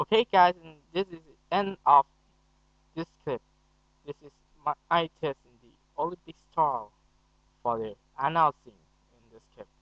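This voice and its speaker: With a Thai accent, a man speaks at a fairly high pitch, his loudness swinging widely. He leaves long, frequent pauses. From Thailand. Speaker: student. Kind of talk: casual talk to camera.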